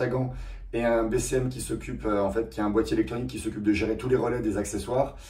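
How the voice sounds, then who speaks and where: Over audible room echo, a man talks very fast at a medium pitch. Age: 30s. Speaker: car restoration YouTuber. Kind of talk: casual vlog talk. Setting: rented garage. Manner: hesitant, many fillers.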